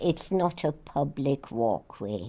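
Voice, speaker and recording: A woman puts on a character voice with a very deep, low pitch and lively intonation. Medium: read story. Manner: firm, authoritative.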